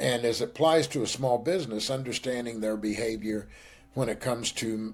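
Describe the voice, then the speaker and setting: With a Texas accent, a man speaks at a medium pitch and with lively intonation on a very clean recording with a silent background. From western Kansas. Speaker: business executive. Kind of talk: interview.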